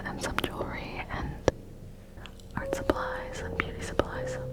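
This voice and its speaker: Whispering at a fairly slow pace, with music in the background. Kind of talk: ASMR room tour. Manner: whispered.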